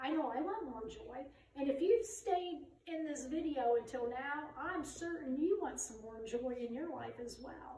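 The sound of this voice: A woman with a high pitch and dark, mellow tone speaks at a moderate pace with ordinary pitch variation, and audible room echo is present.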